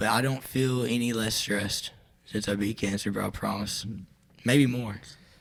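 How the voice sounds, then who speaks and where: With fairly even intonation, a man delivers his words at a moderate speed in a medium register. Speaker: songwriter. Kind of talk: casual chat.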